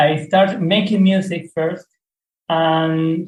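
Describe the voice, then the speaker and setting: A man with a non-native accent and fairly high pitch, at a very slow pace. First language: not English. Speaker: music producer and DJ. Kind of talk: interview. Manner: halting, many fillers.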